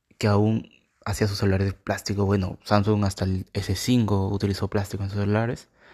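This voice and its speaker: The voice has a dark, mellow tone and monotone, flat intonation at a fairly quick pace, on a very clean recording with a silent background. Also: man, fairly low pitch for a man. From Peru. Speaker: tech podcaster. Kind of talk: casual monologue.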